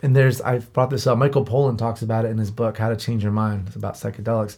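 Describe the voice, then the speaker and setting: His delivery is very fast, and his pitch varies in an ordinary way. The man is captured in a very clean recording with a silent background. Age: 30s. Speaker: podcast host. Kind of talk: casual chat. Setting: studio.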